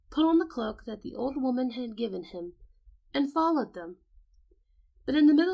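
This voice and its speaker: A soft-spoken woman with a high pitch and a calm tone lets her voice move through very wide pitch swings. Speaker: voice actor. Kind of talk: sleep story. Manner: calm, soft-spoken.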